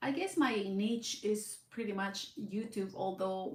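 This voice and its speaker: A woman with a Mexican accent speaks at a fairly slow pace in a medium pitch, her pitch varying in an ordinary way, with audible room echo around her. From Southern California, Mexican-born. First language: Spanish. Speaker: blind content creator. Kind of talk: casual vlog monologue. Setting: live stream at home in front of camera. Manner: hesitant, many fillers.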